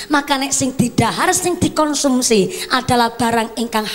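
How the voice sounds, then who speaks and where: Lively intonation and a fairly high pitch mark this woman's speech in a Banyumasan accent. Noticeable background noise runs underneath. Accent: Banyumasan (ngapak) Javanese. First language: Javanese (speaking Indonesian). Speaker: female Islamic preacher. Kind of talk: sermon. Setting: stage with PA system.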